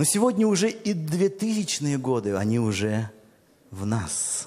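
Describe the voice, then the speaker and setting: With an animated tone, a man speaks at a fairly high pitch, his voice swinging very widely. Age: 40s. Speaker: pastor. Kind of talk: sermon.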